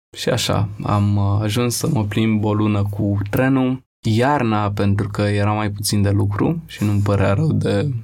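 This is a man with a normal speaking voice and a fairly low pitch. He talks at a fairly slow pace, with ordinary pitch variation and very even loudness. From Romania, Bucharest (Rahova). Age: 20s. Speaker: photographer. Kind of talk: casual interview.

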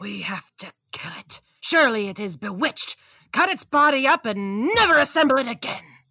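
At a moderate pace, a woman with a high pitch talks with very wide pitch swings and big swings in loudness. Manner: condescending, dismissive.

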